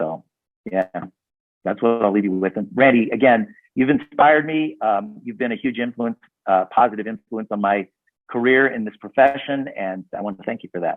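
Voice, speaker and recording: A man with an American accent, an ordinary speaking voice, medium pitch, ordinary pitch variation and a moderate pace. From US Midwest, south suburbs of Chicago. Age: 60s. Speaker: network marketing entrepreneur and author. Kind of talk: casual interview chat.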